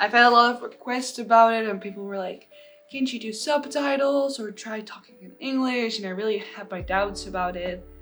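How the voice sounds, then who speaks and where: Audible room echo, ordinary pitch variation, and music in the background. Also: woman, fairly high pitch for a woman, moderate pace, big swings in loudness. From Netherlands. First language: Dutch. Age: 20s. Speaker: plus size model and body positivity influencer. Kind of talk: casual vlog story time.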